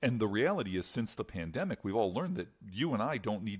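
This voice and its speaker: In a plain, everyday voice, a man with a fairly low pitch speaks at a fairly quick pace. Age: 50s. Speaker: fundraising consultant. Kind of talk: podcast interview.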